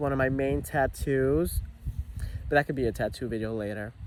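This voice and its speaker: A man's animated, medium-pitched voice in an American accent at a moderate pace. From New Jersey. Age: young. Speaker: vlogger. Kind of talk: casual vlog monologue. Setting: outdoors.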